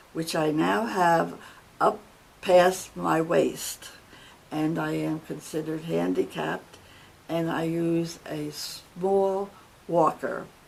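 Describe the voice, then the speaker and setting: A woman with a New Jersey accent talks at a very slow pace, leaving long, frequent pauses. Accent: New Jersey American. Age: 80s+. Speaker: retired secretary telling life story. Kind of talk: life story testimony. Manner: formal, measured.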